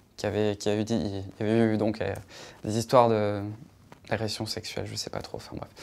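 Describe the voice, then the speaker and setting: Speaking at a fairly quick pace with a fairly low pitch, a man leaves long, frequent pauses and his loudness swings widely. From southern France, Nîmes (Gard). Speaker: YouTuber. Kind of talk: interview. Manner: hesitant, many fillers.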